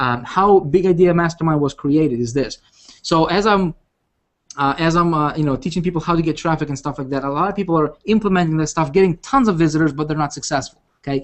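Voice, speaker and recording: Someone with a non-native accent speaks at a very fast pace. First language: not English. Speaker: online business coach. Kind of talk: webinar pitch. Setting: video call. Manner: animated; halting.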